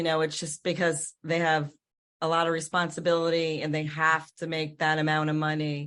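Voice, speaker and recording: Using a plain, everyday voice, a woman with a fairly low pitch speaks at a moderate pace. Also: quiet background. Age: 60s. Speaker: podcast host. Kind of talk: interview.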